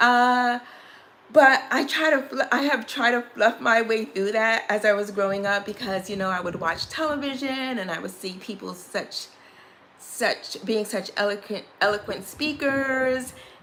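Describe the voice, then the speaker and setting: A woman with an American accent and a fairly high pitch speaks at a fairly slow pace amid noticeable background noise. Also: ordinary pitch variation. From Brooklyn, New York. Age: 60s. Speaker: beauty vlogger. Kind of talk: live stream story time. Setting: live stream. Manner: casual, repetitive.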